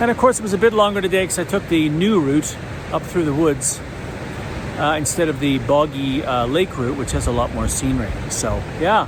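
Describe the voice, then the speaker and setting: A man's fairly high voice moves at a moderate pace with lively intonation, set against noticeable background noise. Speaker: hiking vlogger. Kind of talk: casual vlog talk to camera while hiking. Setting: outdoors on a trail.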